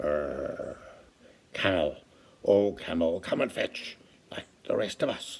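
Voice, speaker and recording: Putting on a character voice, a man speaks at a fairly slow pace. Long, frequent pauses break up his delivery. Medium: read story.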